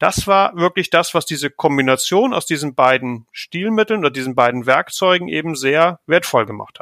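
With a fairly high pitch and a bright, sharp tone, a man speaks at a moderate pace with hardly any pauses. His intonation is lively, and the sound is dry and close with no echo. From northern Germany, near Hamburg. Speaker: team leader in consulting. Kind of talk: podcast interview.

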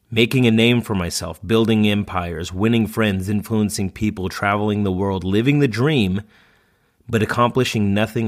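Here a man speaks in a plain, everyday voice. His pace is moderate, with ordinary pitch variation. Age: 30s. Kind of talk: reading aloud.

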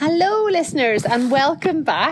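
At a moderate pace, a woman's voice makes very wide pitch swings against noticeable background noise. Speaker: podcast host. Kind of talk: casual chat.

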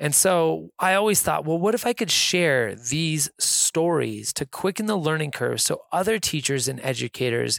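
A man with an American accent, fairly high pitch, and lively intonation, in a very clean recording with a silent background and a dry, close sound without echo. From Reno, Nevada. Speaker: podcast host, kindness nonprofit founder. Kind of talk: solo podcast monologue. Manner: upbeat, laughing.

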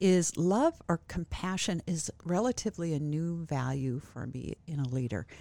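Speaking with a Midwestern American accent, a woman has a dark, mellow tone, a fairly low pitch and lively intonation, moving at a moderate pace with hardly any pauses in a dry, close sound with no echo. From US Midwest, small farming town. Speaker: college president. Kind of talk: interview. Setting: studio.

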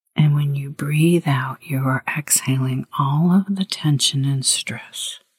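The tone is soothing and calm, at a very slow pace with hardly any pauses. Music plays in the background. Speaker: guided meditation leader. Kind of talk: guided meditation. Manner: slow, soothing, calm, gently paced with pauses.

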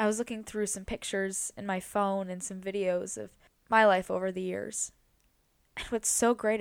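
A woman speaks quietly at a medium pitch and a moderate pace, in a monotone, flat intonation. The recording is very clean with a silent background. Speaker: podcast host. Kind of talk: personal monologue. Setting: in bed at home.

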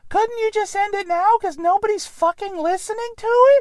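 A put-on character voice with an extremely high pitch moves along at a fairly quick pace. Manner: precocious.

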